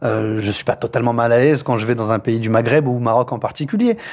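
This man has a plain, everyday voice at a medium pitch. He speaks at a fairly quick pace with fairly even intonation. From France, Paris outskirts (Poissy, Yvelines). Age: 30s. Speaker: mayor. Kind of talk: interview. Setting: office at town hall.

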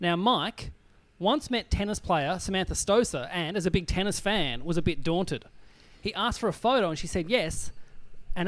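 A man's high-pitched voice with ordinary pitch variation, on a very clean recording with a silent background. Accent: Australian. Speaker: comedian and podcast host. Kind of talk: casual comedy panel chat. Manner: animated.

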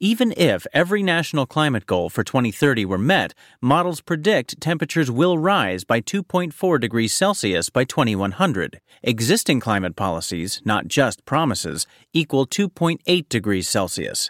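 On a very clean recording with a silent background, a man with a fairly high pitch and vocal fry speaks at a moderate pace with very wide pitch swings and very even loudness, the sound dry and close with no echo. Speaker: news presenter. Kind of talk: scripted news reading, measured feature-style bulletin delivery. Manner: crisp, composed and evenly paced, polished broadcast diction.

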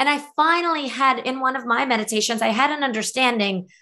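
A woman with an American accent talks at a moderate pace in a bright, sharp tone with ordinary pitch variation, against a quiet background. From former Soviet Union, raised in the US from age eight. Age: 40s. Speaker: author. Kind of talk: interview.

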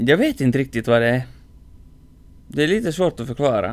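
The man's voice sits at a medium pitch. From Finland (Swedish-speaking). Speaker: podcast host. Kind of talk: casual chat.

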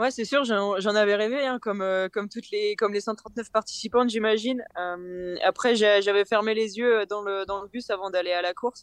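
Speaking at a moderate pace with fairly even intonation, a woman's fairly high voice comes through with a dry, close sound and no echo. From northern France (Nord). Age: 20s. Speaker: professional cyclist. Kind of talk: interview. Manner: halting, many repetitions.

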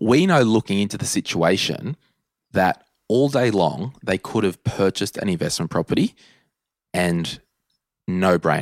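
Dry and close with no echo, this very clean recording with a silent background carries lively intonation at a moderate pace, with long, frequent pauses. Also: man, fairly low pitch for a man. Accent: Australian. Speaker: personal finance podcast host. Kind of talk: casual chat.

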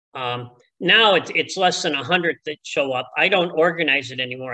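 Speaking at a fairly slow pace with a Chicago accent, a man has a fairly high pitch, a bright, sharp tone and ordinary pitch variation. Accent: Chicago American. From Chicago, US. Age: 70s. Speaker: retired athletics coach. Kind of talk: casual interview.

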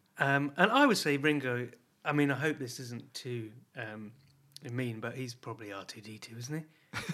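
At a moderate pace, a man with a British accent talks with ordinary pitch variation and big swings in loudness. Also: medium pitch for a man. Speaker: podcast co-host. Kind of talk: casual chat. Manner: jokey, laughs often.

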